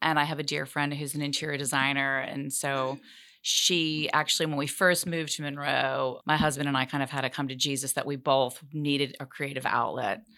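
A woman with an American accent, very deep and low-pitched, bright and sharp in tone, monotone and flat, fairly quick with hardly any pauses. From US Northeast (Massachusetts, New Jersey). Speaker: fashion designer, entrepreneur. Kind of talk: interview. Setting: studio.

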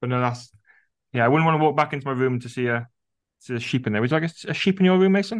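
A man with a Welsh accent, very fast pace, lively intonation and long, frequent pauses, over a quiet background. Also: medium pitch for a man. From Wales. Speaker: teacher and podcast co-host. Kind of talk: interview.

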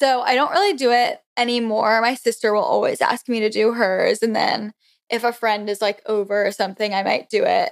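With an American accent and a normal speaking voice, a woman talks at a moderate pace and fairly high pitch, with ordinary pitch variation and very even loudness. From Florida. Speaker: beauty influencer. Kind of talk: casual chat.

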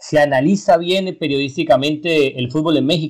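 A man with a normal speaking voice, fairly high in pitch, at a moderate pace and with fairly even intonation. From Colombia. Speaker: sports podcast host. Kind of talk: interview.

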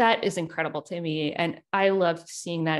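Against a quiet background, a woman with an American accent speaks in a plain, everyday voice, fairly low in pitch and at a fairly quick pace. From US South (South Carolina and Richmond, Virginia). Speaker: author and journalist. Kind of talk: interview.

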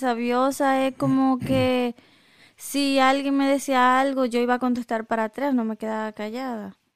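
Recorded dry and close with no echo and a silent background, a woman with a high pitch speaks at a fairly slow pace in a monotone, flat intonation. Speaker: podcast co-host. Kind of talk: casual chat.

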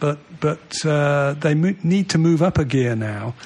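A man with a Mancunian accent speaks at a fairly high pitch with lively intonation. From Manchester, England. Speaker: former footballer. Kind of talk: casual chat.

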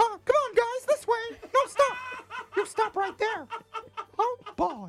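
In a squeaky, extremely high put-on character voice, the speaker goes at a fairly slow pace with long, frequent pauses. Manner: cheerful, bossy.

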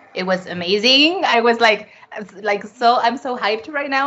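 A woman's fairly high-pitched voice, full of lively intonation, comes through over noticeable background noise. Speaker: co-host. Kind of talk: casual chat.

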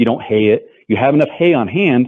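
A man with an American accent has an unremarkable speaking voice at a medium pitch. He keeps a moderate pace with ordinary pitch variation. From western Colorado. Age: 40s. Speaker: rancher and former sheriff's deputy. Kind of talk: interview.

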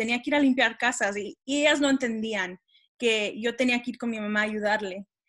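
Over a quiet background, a woman's fairly high voice has a bright, sharp tone and ordinary pitch variation. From Texas. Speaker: podcast co-host and student. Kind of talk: interview.

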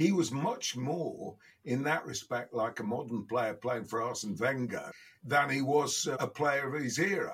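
A fairly slow pace with a Midlands accent. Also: man. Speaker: podcast guest, football pundit.

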